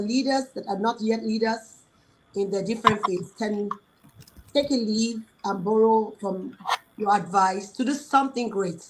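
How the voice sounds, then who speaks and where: This woman's voice sits fairly high in pitch. It is somewhat breathy. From Nigeria. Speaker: talk show host. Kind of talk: interview.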